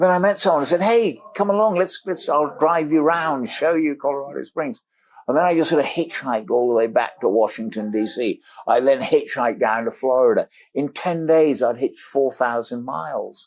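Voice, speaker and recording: Speaking at a moderate pace with a British accent, a man uses lively intonation and a fairly high pitch. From Africa. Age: 70s. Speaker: explorer and adventurer. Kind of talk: podcast interview, storytelling. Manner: animated.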